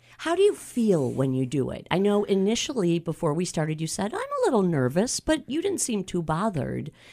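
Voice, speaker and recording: The woman's voice has a warm tone and a fairly quick pace. Background noise is noticeable. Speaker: radio host. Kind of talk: radio interview. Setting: studio. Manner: warm, laughs often.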